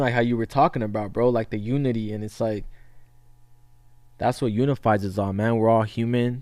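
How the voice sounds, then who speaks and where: Speaking at a fairly quick pace, a man keeps his intonation fairly even. His pitch sits in the medium range. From California, US West Coast. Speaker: podcast host. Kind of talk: casual interview chat. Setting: podcast studio.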